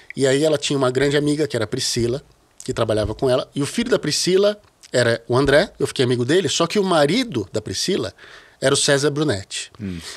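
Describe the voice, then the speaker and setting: Talking at a very fast pace over a quiet background, a man uses lively intonation. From Brazil, São Paulo (childhood partly in Rio). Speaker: bass player; podcast guest. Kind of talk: casual interview conversation. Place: studio. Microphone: studio mic.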